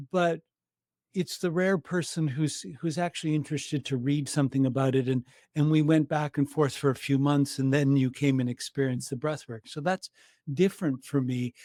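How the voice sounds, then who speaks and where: Speaking at a fairly quick pace with a Canadian accent, a man uses a fairly high pitch and fairly even intonation in a dark, mellow tone, captured in a very clean recording with a silent background and a dry, close sound with no echo. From Canada. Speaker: breathwork practitioner. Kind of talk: interview conversation. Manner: halting.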